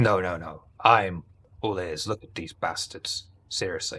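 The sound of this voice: A man puts on a character voice that is low in pitch, bright and sharp, with a slightly husky edge. He speaks fairly slowly with ordinary pitch variation.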